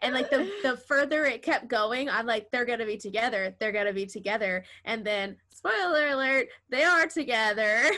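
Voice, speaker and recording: Her voice is high, bright and sharp, as this woman speaks at a moderate pace with lively intonation and hardly any pauses. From Texas. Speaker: podcast host. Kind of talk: casual chat.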